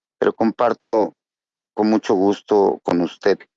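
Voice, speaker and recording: A man talks at a very slow pace. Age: 50s. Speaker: recovering alcoholic. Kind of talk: testimony.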